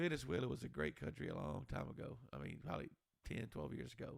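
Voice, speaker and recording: A man talks with a Texan accent and vocal fry. His pitch swings very widely. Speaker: podcast co-host. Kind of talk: casual chat.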